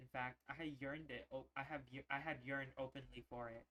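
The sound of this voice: The speech comes in an unforced reading voice with fairly even intonation.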